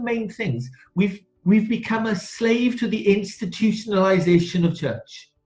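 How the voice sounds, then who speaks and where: The speaking pace is fairly slow. Background music can be heard throughout. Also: man. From Wales, south Wales valleys. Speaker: church minister / ministry speaker. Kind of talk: webinar talk. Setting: online webinar. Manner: hesitant, many fillers and repeats.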